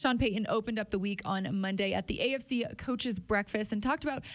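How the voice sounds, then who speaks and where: A woman speaks very fast with vocal fry against a quiet background. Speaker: team podcast host. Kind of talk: casual chat. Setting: studio. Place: studio. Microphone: studio mic.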